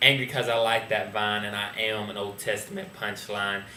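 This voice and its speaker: A man's fairly quick, flat monotone over noticeable background noise. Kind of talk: slam poetry performance, first-person retelling of an Old Testament story. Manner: angry, wry, rhyming.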